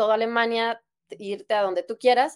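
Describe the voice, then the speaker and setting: A woman with a Mexican accent. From Mexico, Guadalajara. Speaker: doctor. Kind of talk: interview. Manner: hesitant, many fillers.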